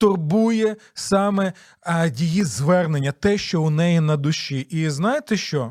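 Lively intonation marks this very slow speech. The recording is very clean with a silent background. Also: man. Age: 40s. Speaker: pastor and radio host. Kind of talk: radio Bible teaching program.

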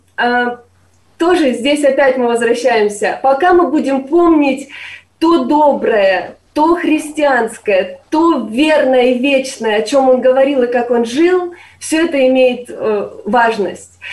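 A woman with a high pitch talks at a very slow pace. Her loudness stays very even. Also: ordinary pitch variation. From eastern Ukraine, Sloviansk. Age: 30s. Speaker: university lecturer. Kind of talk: interview.

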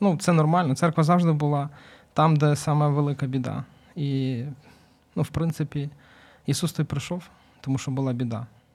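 A somewhat breathy voice with fairly even intonation at a moderate pace. Long, frequent pauses break it up, and the recording is very clean with a silent background. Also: man, fairly high pitch for a man. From Ukraine, Kyiv. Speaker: volunteer, charity founder. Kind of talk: interview.

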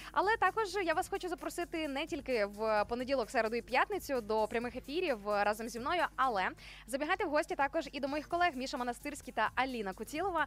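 Against music in the background, a woman speaks very fast in a high voice with lively intonation. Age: 30s. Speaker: radio host. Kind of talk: morning radio show.

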